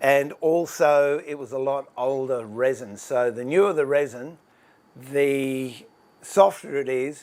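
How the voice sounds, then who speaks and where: Very slow speech from a man with an Australian accent, fairly high in pitch, with ordinary pitch variation and big swings in loudness. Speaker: woodworker and furniture maker. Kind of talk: tutorial. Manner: casual, chatty with fillers; higher pitch and louder when live.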